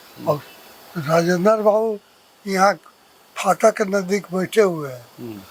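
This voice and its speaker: Against noticeable background noise, a man speaks in a high pitch with ordinary pitch variation. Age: 80s+. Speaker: retired engineer and social worker. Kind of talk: interview answer.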